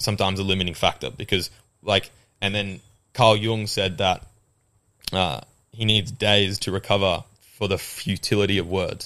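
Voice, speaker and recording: With an Australian accent and a bright, sharp tone, a man speaks at a moderate pace and a fairly low pitch, taking long, frequent pauses in a very clean recording with a silent background. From England, raised in Australia. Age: 20s. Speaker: gym trainer. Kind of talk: casual podcast interview chat. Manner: animated, enthusiastic.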